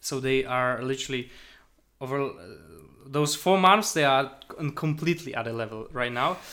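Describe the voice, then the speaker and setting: Speaking at a moderate pace with long, frequent pauses, a man with a Polish accent has a bright, sharp tone at medium pitch with ordinary pitch variation, on a very clean recording with a silent background. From Poland. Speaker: podcast co-host, software agency founder. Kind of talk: casual chat.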